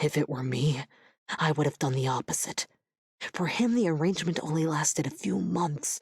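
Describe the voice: A woman in a put-on character voice speaks at a moderate pace and low pitch, her slightly mellow tone carrying vocal fry and a slightly husky edge with ordinary pitch variation.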